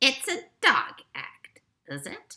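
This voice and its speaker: A woman puts on a squeaky character voice. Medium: read story.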